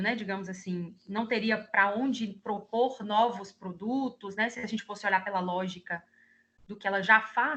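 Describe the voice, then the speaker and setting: Her bright, sharp tone and fairly high pitch carry at a fairly slow pace, as the woman keeps to ordinary pitch variation. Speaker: guest lecturer, service designer. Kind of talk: online class lecture. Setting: video call.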